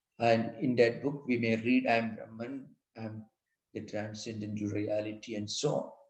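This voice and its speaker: A man with a medium-pitched voice speaks at a moderate pace in a monotone, flat intonation. Audible room echo surrounds the recording. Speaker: monk and spiritual teacher. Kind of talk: lecture.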